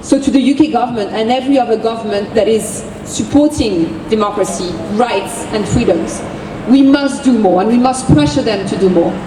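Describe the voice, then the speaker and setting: In a French accent, a woman with a fairly high pitch speaks amid noticeable background noise and audible room echo. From France. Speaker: activist. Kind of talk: rally speech. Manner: impassioned.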